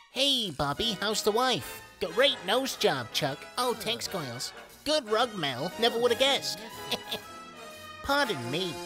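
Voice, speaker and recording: A cartoonish character voice with a fairly high pitch at a fairly slow pace, over clear music in the background. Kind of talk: cartoon voice impression, comic overacting. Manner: indignant, pompous, theatrical.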